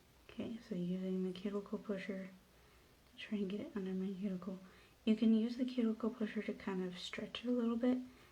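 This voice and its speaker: A woman talks at a very fast pace with a fairly high pitch. Her voice is somewhat breathy, with fairly even intonation. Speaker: nail stylist. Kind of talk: tutorial. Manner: soft-spoken; casual, hesitant with fillers.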